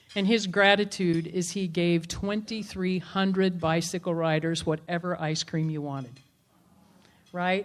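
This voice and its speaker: A woman with a plain, everyday voice speaks at a fairly low pitch and moderate pace with fairly even intonation in a very clean recording with a silent background. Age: 60s. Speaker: motivational speaker and entrepreneur. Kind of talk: public talk.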